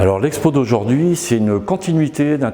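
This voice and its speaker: A man with lively intonation speaks at a moderate pace amid noticeable background noise. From France, Isère (Grande Chartreuse, near Grenoble). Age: 60s. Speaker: painter and graphic artist. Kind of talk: interview. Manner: hesitant, many fillers.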